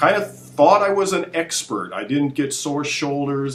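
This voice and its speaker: A man talks at a moderate pace while noticeable background noise is heard. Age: 60s. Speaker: fitness expert. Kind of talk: casual chat. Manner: halting.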